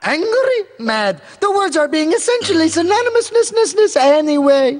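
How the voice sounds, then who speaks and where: An extremely high pitch defines this cartoonish character voice. The delivery holds a moderate pace. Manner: clumsy foreign grammar, overuses -ing forms.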